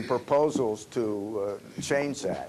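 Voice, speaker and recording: Over noticeable background noise, a man talks at a very slow pace with fairly even intonation. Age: 80s+. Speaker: panelist, term limits campaigner. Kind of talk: panel Q&A at workshop. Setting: restaurant meeting room with audience. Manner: halting, many fillers.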